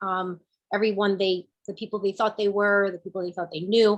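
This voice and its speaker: A woman with a New Jersey accent speaks at a medium pitch. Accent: New Jersey American English. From New Jersey, Newark and Kearny. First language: Spanish. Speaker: business owner and panelist. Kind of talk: panel discussion.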